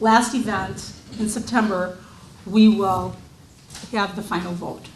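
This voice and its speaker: Speaking at a very slow pace, a woman keeps a medium pitch and a monotone, flat intonation. Noticeable background noise and audible room echo fill the recording. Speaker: historical society host. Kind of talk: opening remarks at a public presentation. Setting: event hall with audience, PA microphone. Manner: loud.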